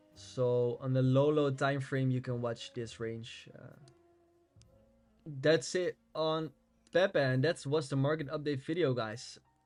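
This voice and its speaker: Long, frequent pauses from a man with a Dutch accent. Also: medium pitch for a man, ordinary pitch variation, fairly slow pace. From Netherlands. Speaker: crypto trading YouTuber. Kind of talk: market analysis tutorial. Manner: casual, with fillers.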